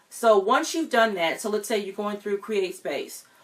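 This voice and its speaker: The woman's voice sits fairly high in pitch. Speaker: writing and publishing coach. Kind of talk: tutorial. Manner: fast; hesitant, many fillers.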